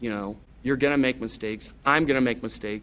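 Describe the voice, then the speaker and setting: Talking very fast with vocal fry, a man with an American accent holds a medium pitch and ordinary pitch variation. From Oregon, US. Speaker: high school football coach. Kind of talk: podcast interview.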